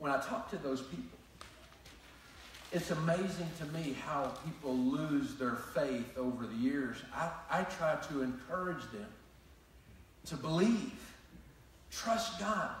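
A man's fairly high voice at a slow pace, with ordinary pitch variation, long, frequent pauses and strong room echo.

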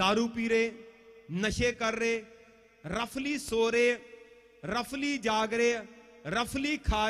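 Over a quiet background, a man speaks with an extremely high pitch. His pace is very slow, with long, frequent pauses. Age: 40s. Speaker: pastor; preacher. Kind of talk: sermon. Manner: animated. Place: tent. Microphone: handheld.

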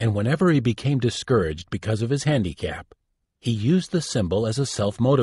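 The voice reads in an unforced way, with a quiet background.

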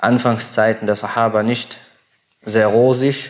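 A man speaking at a fairly slow pace in a monotone, flat intonation. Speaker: religious teacher. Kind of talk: lecture. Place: home room. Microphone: lapel.

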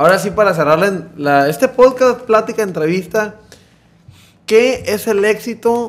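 A man's voice with lively intonation. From Mexico. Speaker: podcast host. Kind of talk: casual interview; interview question. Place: studio. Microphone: studio mic.

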